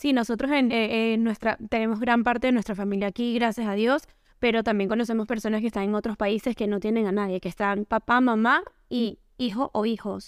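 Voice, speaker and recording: A woman with an unremarkable speaking voice, fairly high in pitch and fairly quick, her intonation fairly even, in a very clean, dry, close recording with no echo and a silent background. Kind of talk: casual chat.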